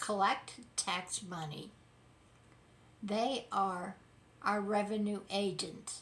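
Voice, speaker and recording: A woman speaks in a somewhat breathy voice. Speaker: political commentary YouTuber. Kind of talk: casual commentary monologue.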